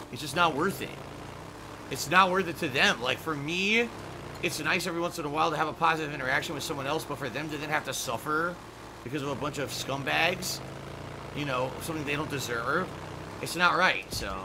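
A man talks at a fairly quick pace in a fairly high voice with ordinary pitch variation. Noticeable background noise runs underneath. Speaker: game streamer. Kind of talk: casual stream commentary to chat. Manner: frustrated, swears often. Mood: resigned, complaining. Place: home room. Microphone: headset.

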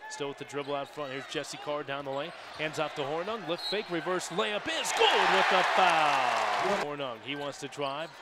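A man's animated voice, fairly high in pitch with ordinary pitch variation, at a moderate pace with hardly any pauses, in a dry sound with no echo, over loud background noise. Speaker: basketball play-by-play announcer. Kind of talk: live basketball play-by-play commentary. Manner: animated, rising excitement on made shots. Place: stadium. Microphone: headset.

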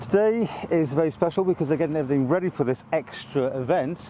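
With ordinary pitch variation and light background noise, this man speaks at a very fast pace. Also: dry sound with no echo. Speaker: local TV reporter. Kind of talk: informal on-location news commentary. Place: open country.

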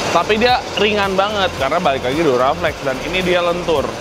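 Music plays in the background as a man speaks. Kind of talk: casual vlog chat. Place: workshop. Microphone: lapel.

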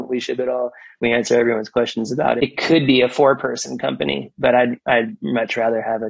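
A man's medium-pitched voice with vocal fry, ordinary pitch variation and a very fast pace. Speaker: business executive. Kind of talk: interview.

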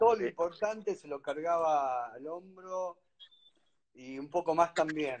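A man with a Rioplatense accent, fairly high-pitched, with lively intonation at a fairly slow pace. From Argentina. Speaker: musician and interviewer; interviewer. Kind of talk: casual chat. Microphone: video call.

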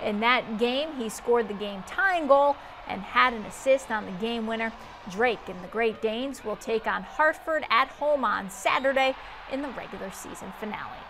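Music plays in the background of this moderately paced speech. The loudness swings widely. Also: woman, fairly high pitch for a woman, ordinary pitch variation. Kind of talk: sports news report read by an anchor.

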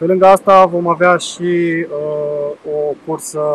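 A man's voice comes through dry and echo-free, with light noise in the background. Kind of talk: promotional announcement to camera. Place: waterside.

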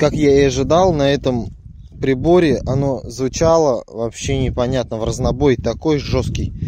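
A man's fairly high voice with a dark, mellow tone and ordinary pitch variation, at a fairly slow pace, in a dry sound with no echo and noticeable background noise. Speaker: metal detecting vlogger. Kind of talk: casual vlog commentary. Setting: outdoors in a field. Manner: animated. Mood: pleased, excited. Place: open country.

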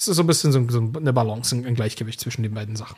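Lively intonation from a man, his voice somewhat breathy. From eastern Germany. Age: 30s. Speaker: founder and author. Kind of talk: interview.

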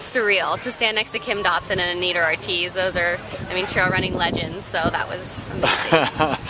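A woman's voice sounds dry, with no echo. Loud background noise runs behind it. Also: moderate pace. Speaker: trail runner. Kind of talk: interview answer. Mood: cheerful, relaxed. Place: garden.

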